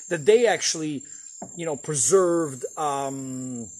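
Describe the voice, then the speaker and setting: A man speaks at a fairly slow pace in a fairly high pitch, with noticeable background noise. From Eastern Europe, Poland. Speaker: vlogger. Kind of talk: casual vlog cooking tutorial. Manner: halting, many fillers and repetitions.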